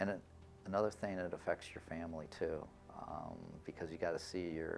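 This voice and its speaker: A man's very deep, low voice in a Michigan accent, at a fairly quick pace with fairly even intonation. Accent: Midwestern US (Michigan). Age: 60s. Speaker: son of a war veteran. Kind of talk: interview testimony. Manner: halting, with fillers.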